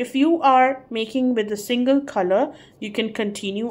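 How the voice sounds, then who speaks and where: A woman speaks at a moderate pace with a non-native accent. Her pitch is fairly high, with ordinary variation. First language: not English. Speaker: crochet tutorial creator. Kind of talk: tutorial. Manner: halting, hesitant with fillers.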